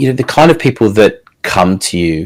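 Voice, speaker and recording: Here a man speaks with an Australian accent at a moderate pace. The recording is very clean and the background silent. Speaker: podcast host. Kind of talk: interview podcast.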